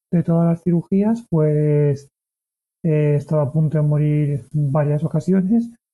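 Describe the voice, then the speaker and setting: A man speaks with a fairly high pitch and a dark, mellow tone. His pace is fairly slow and his intonation fairly even. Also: very even loudness. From Spain, Valencia. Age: 30s. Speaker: ultra-distance athlete and cancer survivor. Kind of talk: interview, personal testimony. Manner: halting, with frequent repetitions.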